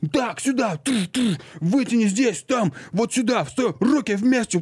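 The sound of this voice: A put-on character voice from a man, pitched extremely high, at a moderate pace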